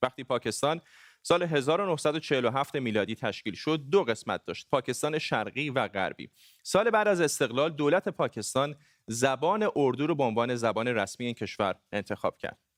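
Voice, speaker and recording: Very fast and lively, a man speaks at a fairly high pitch in a very clean recording with a silent background and a dry, close sound with no echo. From Iran, Gilan. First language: Gilaki (speaking Persian). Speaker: TV news anchor. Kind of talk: news presenting.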